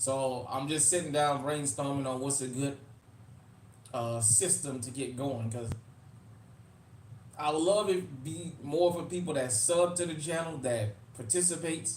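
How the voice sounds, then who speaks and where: With an American accent, a man speaks at a fairly high pitch and a fairly slow pace, with ordinary pitch variation and long, frequent pauses. His voice is somewhat breathy, and audible room echo surrounds it. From New Orleans, Louisiana (US South), Uptown. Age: 40s. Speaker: YouTube livestream host, firearms channel. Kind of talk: casual livestream chat. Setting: live stream.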